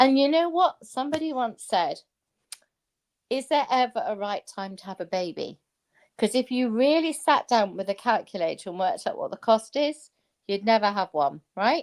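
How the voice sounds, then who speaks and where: In an English accent, a woman with a high pitch speaks in an animated tone with very wide pitch swings, big swings in loudness and long, frequent pauses, over a very clean, silent background with a dry, close sound and no echo. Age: 60s. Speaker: former stock trader. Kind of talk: casual chat.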